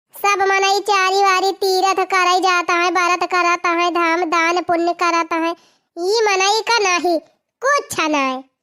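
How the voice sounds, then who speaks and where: A woman's cartoonish character voice, extremely high in pitch, at a fairly slow pace with very even loudness. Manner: scolding, insistent.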